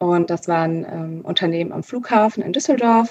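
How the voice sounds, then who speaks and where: A woman with an ordinary speaking voice talks at a moderate pace with ordinary pitch variation. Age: 20s. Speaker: store manager. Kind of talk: interview.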